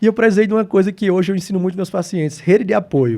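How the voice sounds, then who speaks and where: Here a man speaks in a dark, mellow tone with ordinary pitch variation. The recording is very clean with a silent background. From Brazil, Natal (Rio Grande do Norte, Northeast). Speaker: geriatrician. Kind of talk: interview.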